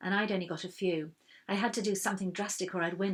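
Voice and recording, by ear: Someone reads a text aloud in a natural voice, the pitch holding fairly level throughout.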